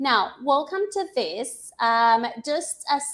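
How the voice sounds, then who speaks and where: A woman with a non-native accent talks at a very slow pace. Her high voice swings very widely in pitch. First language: not English. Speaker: English teacher. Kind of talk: live-stream tutorial. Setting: live stream on social media. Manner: casual, filler-heavy.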